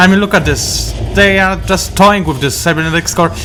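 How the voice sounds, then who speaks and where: A man's moderately paced speech with a non-native accent, audible room echo, and noticeable background noise. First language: not English. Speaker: game commentator. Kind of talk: live commentary. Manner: halting.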